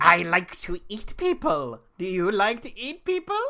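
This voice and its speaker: This put-on character voice sits at a fairly high pitch. It moves at a moderate pace. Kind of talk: menacing. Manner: creepy, seductive.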